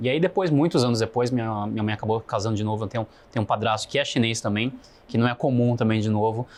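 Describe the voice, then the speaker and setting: He has a normal speaking voice at a medium pitch. This man uses ordinary pitch variation. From Brazil, Foz do Iguaçu area, then São Paulo. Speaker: podcast guest, business person. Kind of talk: interview conversation.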